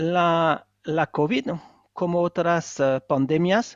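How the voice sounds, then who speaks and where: A man speaks with a non-native accent. His pitch is high. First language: not Spanish (speaking Spanish). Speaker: economist and author. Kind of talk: book presentation interview. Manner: halting, many hesitations.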